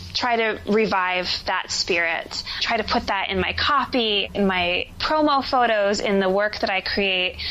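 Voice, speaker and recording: A woman with an American accent speaks fairly slowly, with hardly any pauses, at a medium pitch with ordinary pitch variation. Her loudness stays very even, and there is noticeable background noise. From New Jersey. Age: 20s. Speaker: actor and life coach. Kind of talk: podcast interview.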